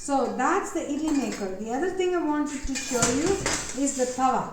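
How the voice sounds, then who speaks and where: A woman with a high pitch talks at a moderate pace. Noticeable background noise and audible room echo are present. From South India. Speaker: cooking instructor. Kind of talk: tutorial. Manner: casual.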